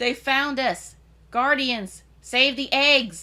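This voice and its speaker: In a put-on character voice, the speaker bellows in a gravelly tone at a very slow pace. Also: female-sounding voice. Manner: bellowing, urgent.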